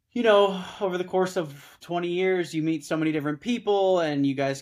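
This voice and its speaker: In a very clean recording with a silent background, a man with an American accent speaks at a moderate pace in a plain, everyday voice. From Southern California. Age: 30s. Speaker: startup founder and former political staffer. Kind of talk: casual chat.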